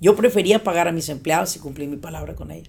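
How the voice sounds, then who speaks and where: A woman with a Mexican accent at a very fast pace, ordinary pitch variation, and noticeable background noise. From Mexico, Michoacán. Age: 40s. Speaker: business coach. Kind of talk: interview.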